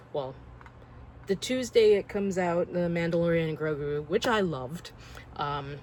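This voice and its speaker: A woman's fairly low voice at a moderate pace, with ordinary pitch variation and long, frequent pauses. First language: not English. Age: 40s. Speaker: collector vlogger. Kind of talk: casual vlog monologue.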